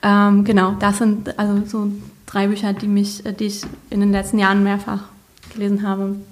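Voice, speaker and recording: Room echo is audible as a woman talks at a moderate pace. Her voice is somewhat breathy, with a medium pitch. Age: 30s. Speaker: leukemia survivor and social media expert. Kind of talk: casual interview chat. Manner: animated.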